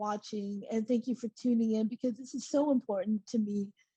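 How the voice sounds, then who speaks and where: Recorded with a dry, close sound and no echo, a woman speaks at a moderate pace in a fairly high pitch, somewhat breathy, with a dark, mellow tone and ordinary pitch variation. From Dallas, Texas (born in South Korea). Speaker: trafficking survivor and advocate. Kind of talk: testimony.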